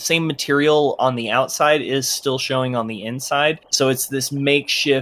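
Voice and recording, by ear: The voice is reading aloud in a natural voice with fairly even intonation.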